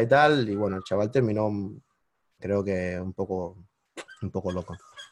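This man speaks with a Cuban accent. His pitch is fairly low with ordinary variation. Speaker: digital marketing entrepreneur. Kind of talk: interview. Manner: animated.

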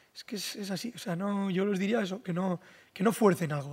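Noticeable background noise sits under the recording. A man speaks at a very fast pace in a high pitch. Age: 20s. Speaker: content creator and mechanic. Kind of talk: casual chat. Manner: exaggerated dubbing-style delivery.

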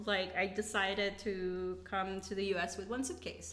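The speaker has a Philippine accent. The pace is fairly slow. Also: woman. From Philippines, Davao (Mindanao). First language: Bisaya. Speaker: immigrant guest. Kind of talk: casual chat.

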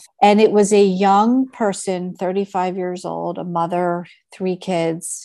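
With an American accent and an ordinary speaking voice, a woman talks at a fairly slow pace in a medium pitch against a quiet background. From Philadelphia, US. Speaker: physician and telehealth founder. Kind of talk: interview.

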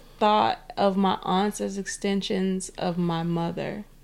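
Speaking at a fairly slow pace, a woman uses a normal speaking voice at a medium pitch. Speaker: podcast co-host. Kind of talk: casual chat. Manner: playful, bantering.

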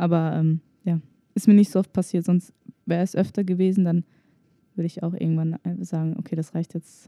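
With long, frequent pauses despite a fairly quick pace, a woman speaks at a fairly low pitch in a dark, mellow tone and a monotone, flat intonation, the sound dry and close with no echo. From Germany. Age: 20s. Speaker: podcast co-host. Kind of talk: casual chat.

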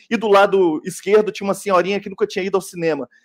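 A man's voice, high in pitch. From Belo Horizonte, Minas Gerais. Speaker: sound technician and film editor. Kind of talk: panel discussion. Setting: video call.

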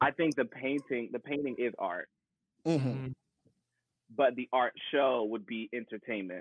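A man with an American accent speaks at a medium pitch with ordinary pitch variation. He leaves long, frequent pauses. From US, Paducah, Kentucky. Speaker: musical theater performer. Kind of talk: casual chat. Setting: live stream on social media.

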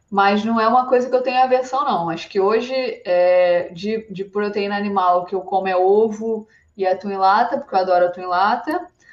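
A woman talks in a plain, everyday voice at a medium pitch. Her pace is moderate, with ordinary pitch variation. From Brazil, Rio de Janeiro. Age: 30s. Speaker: climbing athlete. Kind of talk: podcast interview.

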